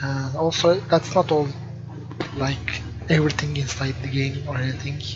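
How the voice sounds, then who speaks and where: Against music in the background and audible room echo, a man speaks at a fairly high pitch with fairly even intonation. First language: not English. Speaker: game developer. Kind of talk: let's play commentary. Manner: hesitant, filler words. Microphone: poor microphone quality.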